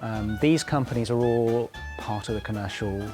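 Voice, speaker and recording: A man talks with ordinary pitch variation. Background music can be heard. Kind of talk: interview answer.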